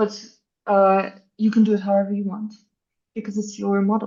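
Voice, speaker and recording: Somewhat breathy and fairly quick, a woman speaks at a medium pitch with a non-native accent. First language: not English. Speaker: architecture AI workshop instructor. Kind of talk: live workshop tutorial. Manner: animated, casual.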